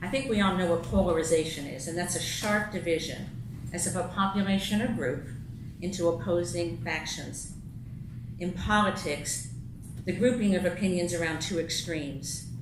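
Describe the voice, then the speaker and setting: A woman's fairly low-pitched voice moves at a moderate pace with ordinary pitch variation, heard through audible room echo and noticeable background noise. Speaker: lay speaker giving a talk at a congregation. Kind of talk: sermon-style talk read from paper.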